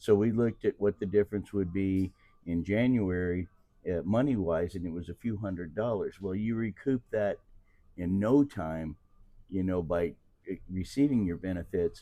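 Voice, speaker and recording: With a Midwestern US accent, a man talks at a moderate pace in a fairly low, dark, mellow voice with ordinary pitch variation. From Missouri, Kansas City. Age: 60s. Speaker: retiree. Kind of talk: interview.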